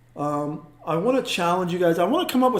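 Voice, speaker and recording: Noticeable background noise sits behind a voice moving at a fairly quick pace with ordinary pitch variation. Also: man. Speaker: art teacher. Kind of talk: live-stream drawing tutorial. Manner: hesitant, many fillers.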